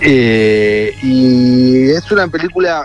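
A man's medium-pitched voice, with ordinary pitch variation, comes through noticeable background noise. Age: 30s. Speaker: journalist and film critic. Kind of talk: radio interview. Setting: phone call from a car. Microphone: hands-free phone.

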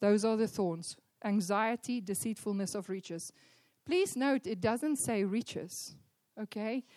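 A woman's plain, everyday voice, fairly high-pitched, with ordinary pitch variation, a moderate pace and a quiet background. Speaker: church leader. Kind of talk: sermon introduction. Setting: church.

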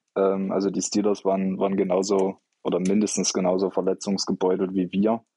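A dark, mellow tone colors a man's fairly low-pitched voice. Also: dry, close sound with no echo. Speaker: football podcast co-host, fan. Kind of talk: casual chat.

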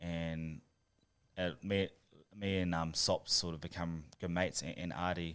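A man with a New Zealand accent speaks at a moderate pace in a very deep, low, monotone voice. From New Zealand, Christchurch. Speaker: professional rugby player. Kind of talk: casual interview.

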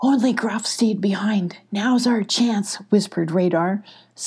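An unforced reading voice comes through with ordinary pitch variation.

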